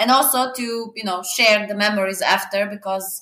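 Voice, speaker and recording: In a Serbian accent, a woman speaks at a fairly high pitch and moderate pace with ordinary pitch variation. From Serbia, small eastern mining village. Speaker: traveler. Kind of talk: interview. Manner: halting with fillers.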